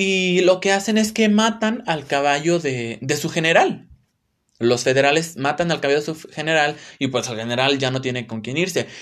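The speech moves at a moderate pace with lively intonation. The recording is very clean, with a silent background. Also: man, fairly high pitch for a man. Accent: Mexican. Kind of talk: religious talk, solo podcast. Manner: casual, filler-heavy.

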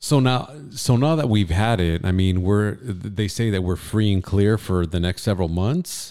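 A man with an American accent, fairly low in pitch with ordinary pitch variation, at a moderate pace with hardly any pauses and very even loudness, on a very clean recording with a silent background. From Southern California, Ventura County. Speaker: radio host and entrepreneur. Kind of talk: casual chat. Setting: studio.

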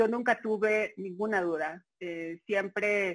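A woman with a Mexico City accent, fairly slow pace, quiet background. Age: 30s. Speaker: journalist. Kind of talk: interview. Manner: hesitant, many fillers.

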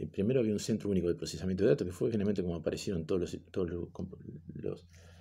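A man speaks in a very deep, low pitch. His tone is dark and mellow, with ordinary pitch variation. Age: 50s. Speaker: teacher. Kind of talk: recorded online class lecture. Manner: halting, many fillers and repetitions.

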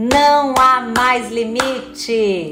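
A high-pitched, animated woman's voice amid noticeable background noise and audible room echo. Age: 50s. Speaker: electoral court official and instructor. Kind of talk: live stream lecture. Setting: home office live stream.

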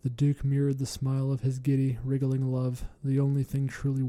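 This is plain reading aloud. Nothing more is going on.

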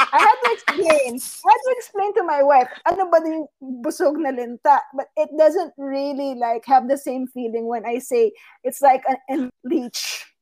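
The woman's voice is high in pitch. She uses lively intonation. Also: moderate pace. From Philippines. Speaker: podcast co-host. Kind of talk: casual chat.

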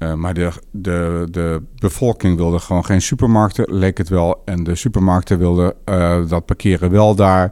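His intonation is fairly even. The man's pitch is very deep and low. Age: 50s. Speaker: urban planner. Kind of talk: interview. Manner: halting.

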